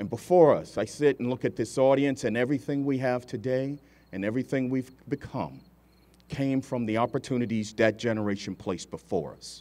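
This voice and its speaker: A man's dark, mellow tone at a fairly quick pace with ordinary pitch variation. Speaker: military colonel, guest speaker; guest. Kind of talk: formal keynote speech; ceremonial speech. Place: street. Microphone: podium.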